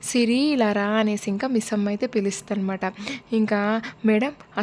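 The intonation is fairly even in this unforced reading voice.

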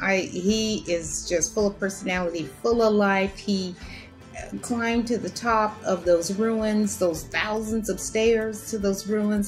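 Faint music sits in the background as a woman speaks at a fairly slow pace with ordinary pitch variation. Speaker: solo cruise vlogger. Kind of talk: casual talk to camera. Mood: admiring, enthusiastic. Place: home room. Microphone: webcam.

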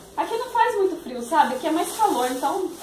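Noticeable background noise behind a woman's voice, moderate in pace and swinging very widely in pitch. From Paraná, Brazil. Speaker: vlogger, mother; vlogger mother. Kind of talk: casual vlog chat. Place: kitchen.

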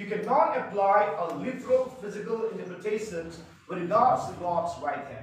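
Through strong room echo and light background noise, a man speaks at a fairly slow pace. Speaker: Bible class teacher. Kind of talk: lecture. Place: classroom. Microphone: camera far.

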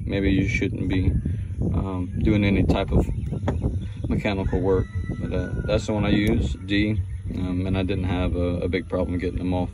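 A man speaks at a moderate pace with long, frequent pauses. The sound is dry with no echo, and the background noise is loud. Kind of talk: tutorial. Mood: casual, joking, blunt. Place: garage. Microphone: phone near.

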